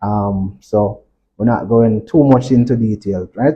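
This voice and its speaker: Somewhat breathy, a man speaks at medium pitch with a dark, mellow tone and ordinary pitch variation. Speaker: stock market analyst presenter. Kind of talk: financial presentation.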